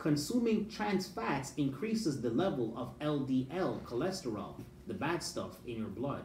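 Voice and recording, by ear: Audible room echo surrounds a man whose slightly mellow voice moves at a fairly slow pace with big pitch swings. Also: medium pitch for a man.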